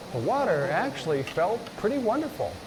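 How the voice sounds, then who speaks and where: With audible room echo and noticeable background noise, a man speaks at a high pitch with very wide pitch swings. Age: 70s. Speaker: hiker and vlogger. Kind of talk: scripted narration.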